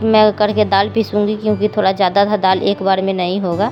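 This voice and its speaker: Music plays in the background as a woman speaks at a medium pitch. Her intonation is fairly even. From Bihar, India. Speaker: home cooking vlogger, mother. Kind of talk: casual cooking vlog.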